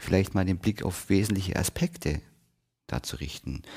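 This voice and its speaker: This man talks at a fairly quick pace in a very deep, low voice with vocal fry. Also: very clean recording, silent background. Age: 30s. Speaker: hypnotherapist and podcast host. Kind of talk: solo podcast talk. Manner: casual.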